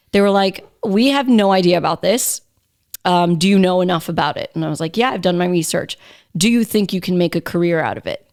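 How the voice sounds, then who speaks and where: Spoken at a fairly quick pace in a New York accent, the voice has ordinary pitch variation, with a dry, close sound, no echo, and a very clean recording against a silent background. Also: woman, medium pitch for a woman. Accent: American (New York). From New York City (Queens). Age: 30s. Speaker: radio host. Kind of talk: casual chat. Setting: studio.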